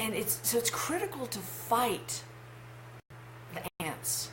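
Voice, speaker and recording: A woman's very slow speech amid noticeable background noise and audible room echo. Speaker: life coach. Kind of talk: vlog monologue. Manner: halting.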